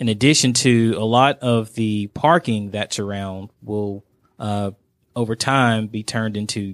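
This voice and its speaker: A man with an unremarkable speaking voice and a fairly low pitch is heard on a very clean recording with a silent background. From Georgia, US (Dalton). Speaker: city economic development manager. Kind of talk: radio interview. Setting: studio.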